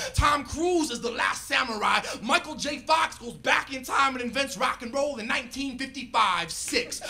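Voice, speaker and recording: Over music in the background, a man with an extremely high pitch uses a raised, projected voice at a moderate pace. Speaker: rapper and spoken word poet. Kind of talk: spoken word poetry performance. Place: stage. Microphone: handheld.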